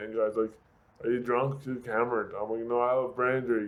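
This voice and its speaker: A man talks at a medium pitch. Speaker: car crash survivor, motivational speaker. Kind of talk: interview. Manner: halting, slurred speech from brain injury.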